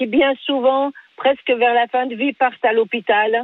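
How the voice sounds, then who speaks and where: A woman is talking here. Her delivery is fairly slow. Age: 60s. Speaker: home care worker, radio caller. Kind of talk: call-in debate.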